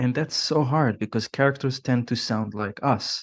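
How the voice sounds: The pitch shows ordinary variation. It belongs to a natural reading voice.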